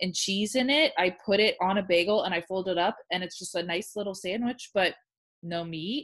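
The tone is animated at a fairly quick pace. The background is quiet. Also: woman. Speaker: podcast co-host. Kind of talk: casual chat. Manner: animated, chatty.

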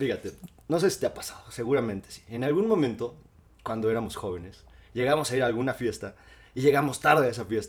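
A somewhat breathy man talks at a very fast pace in a medium pitch with ordinary pitch variation. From Mexico, Cuernavaca. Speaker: podcast co-host. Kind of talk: casual chat. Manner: animated.

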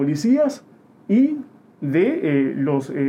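This man has a fairly high pitch and very wide pitch swings. Music sounds in the background. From Uruguay. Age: young. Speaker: political activist. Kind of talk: interview. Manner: halting, many fillers.

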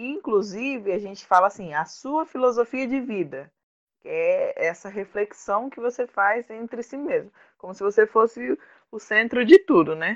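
A woman with an ordinary speaking voice, fairly high pitch, lively intonation and big swings in loudness at a moderate pace. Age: 20s. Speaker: beautician acting as student. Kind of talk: casual conversation.

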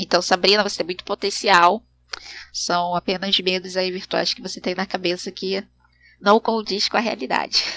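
A woman's monotone, flat delivery, dry and close with no echo, with big swings in loudness. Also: medium pitch for a woman, moderate pace. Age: 30s. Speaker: podcast host. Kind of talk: casual monologue.

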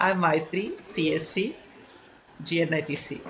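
A man is speaking. He has an Indian accent. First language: Telugu. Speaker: podcast host. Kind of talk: casual interview chat.

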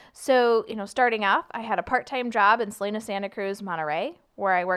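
In a very clean recording with a silent background, a woman with an American accent talks at a fairly quick pace in an ordinary speaking voice, with a medium pitch and lively intonation. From California, US. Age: 20s. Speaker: TV meteorologist. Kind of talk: casual interview chat.

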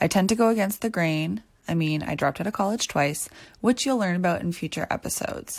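A woman's normal speaking voice, medium in pitch, with lively intonation at a fairly quick pace on a very clean recording with a silent background. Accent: Canadian. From Ontario, Canada (near Toronto). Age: 20s. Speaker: podcast host, dancer and choreographer. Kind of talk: scripted podcast intro monologue. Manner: upbeat, motivational.

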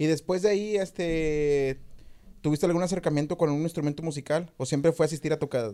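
Speaking at a fairly quick pace, a man with a fairly high pitch and a dark, mellow tone uses ordinary pitch variation. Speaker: podcast host. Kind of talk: casual chat.

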